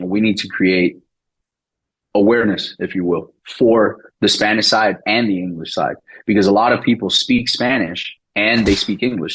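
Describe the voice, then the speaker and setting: Speaking at a moderate pace, a man with an American accent and fairly low pitch shows ordinary pitch variation. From Miami, Florida. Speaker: real estate investor. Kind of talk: podcast interview. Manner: casual, conversational.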